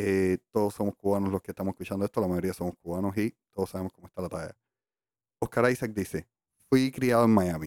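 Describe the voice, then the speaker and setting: A man talks very fast with a fairly low pitch. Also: big swings in loudness, dry, close sound with no echo. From Cuba, Havana (La Lisa). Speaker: podcast co-host. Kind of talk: casual chat. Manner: animated.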